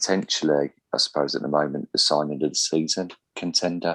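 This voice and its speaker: A man speaks in a very deep, low voice with a Birmingham accent. His intonation is monotone and flat. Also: dry, close sound with no echo. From Birmingham, England. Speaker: football podcast host. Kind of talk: casual podcast chat.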